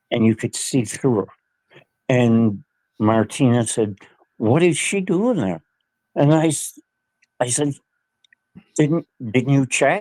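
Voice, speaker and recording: A man speaks at a medium pitch. He goes very slowly, with long, frequent pauses. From Nova Scotia, Canada. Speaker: guest sharing paranormal experiences. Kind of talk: casual interview, storytelling. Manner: halting, repetitive.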